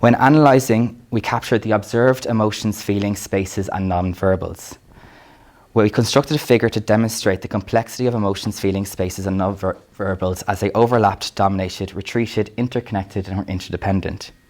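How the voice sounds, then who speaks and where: Fairly quick speech from a man with an Irish accent, fairly low pitch and fairly even intonation. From Ireland. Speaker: academic lecturer. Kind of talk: lecture.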